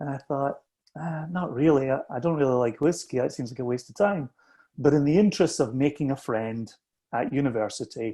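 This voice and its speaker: Speaking with a Scottish accent, a man uses a fairly high pitch and a dark, mellow tone with ordinary pitch variation. His pace is fairly quick, and the background is quiet. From southwest Scotland, Ayrshire. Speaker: whisky company founder. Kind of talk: casual chat.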